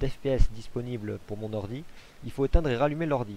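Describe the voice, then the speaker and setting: Here a man talks at a fairly quick pace. His medium-pitched voice has a dark, mellow tone. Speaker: gaming video creator. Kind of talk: Let's Play commentary. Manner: hesitant, many fillers.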